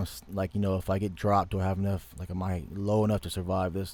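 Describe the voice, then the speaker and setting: A dark, mellow tone in an American accent at a very fast pace. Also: man. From US South, Louisiana. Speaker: online dream and vision sharer. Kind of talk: dream testimony. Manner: halting, repetitive.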